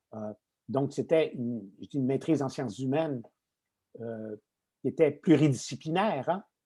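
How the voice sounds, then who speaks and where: In a very clean recording with a silent background, a man with a fairly high pitch and a dark, mellow tone speaks at a moderate pace with lively intonation and long, frequent pauses. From Quebec. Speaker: retired tech executive and lecturer. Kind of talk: podcast interview.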